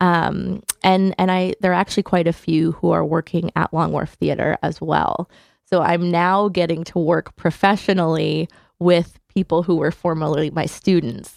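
In a very clean recording with a silent background and a dry, close sound free of echo, a woman with an American accent speaks at a moderate pace, fairly low in pitch, with vocal fry, monotone, flat intonation and very even loudness. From Connecticut (Hamden, near New Haven). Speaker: theater education manager. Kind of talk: radio interview.

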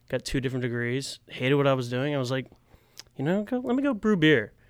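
A man at medium pitch speaks with ordinary pitch variation in a very clean recording with a silent background. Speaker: assistant brewer and delivery driver. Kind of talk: casual chat. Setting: studio.

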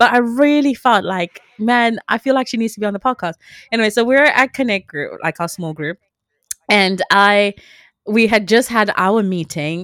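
A normal speaking voice comes through dry and close with no echo, at a moderate pace and with ordinary pitch variation. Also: woman. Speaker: podcast co-host. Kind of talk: casual faith conversation.

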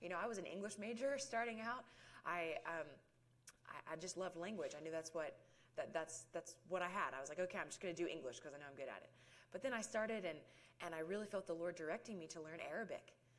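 A woman talks very fast, her intonation lively. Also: medium pitch for a woman. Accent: Southern US. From US South (rural South Georgia). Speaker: ministry outreach worker. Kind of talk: testimony.

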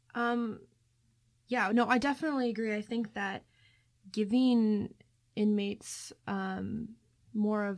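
With an American accent, an ordinary speaking voice delivers fairly even intonation at a fairly slow pace in a very clean recording with a silent background. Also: woman. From Ohio. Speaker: student co-host. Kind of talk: student podcast discussion.

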